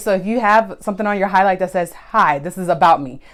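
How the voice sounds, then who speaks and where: A woman talks loud at a very fast pace. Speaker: photographer and social media tips host. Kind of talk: live stream tutorial. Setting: Instagram live stream. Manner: casual, conversational.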